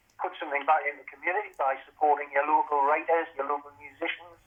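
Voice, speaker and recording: With a Geordie accent, a man speaks at a moderate pace and a fairly high pitch, keeping his intonation fairly even. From Newcastle, northern England. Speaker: author and former police officer. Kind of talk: casual chat.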